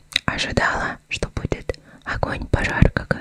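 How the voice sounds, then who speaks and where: A whispering woman at a fairly slow pace. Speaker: ASMR eating content creator; ASMR streamer. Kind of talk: casual talk to camera while eating. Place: home room. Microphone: studio mic.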